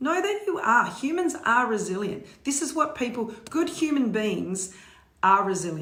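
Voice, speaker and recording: An animated woman with an Australian accent, high pitch, very wide pitch swings and a fairly slow pace, amid noticeable background noise and audible room echo. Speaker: motivational speaker. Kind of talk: live stream talk.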